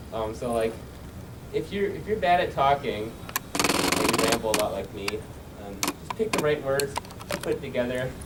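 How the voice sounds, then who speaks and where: Speech runs at a moderate pace with long, frequent pauses. Background noise is noticeable. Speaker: YouTuber on convention panel. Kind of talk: panel presentation. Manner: stutters and pauses a lot.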